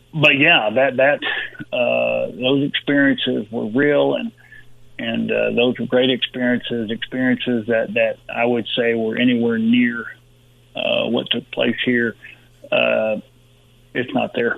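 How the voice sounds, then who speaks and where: With a Texan accent, a man talks at a fairly slow pace. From Texas, Uvalde. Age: 60s. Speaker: retired football player and sports agent. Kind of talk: interview. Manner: halting, many repetitions.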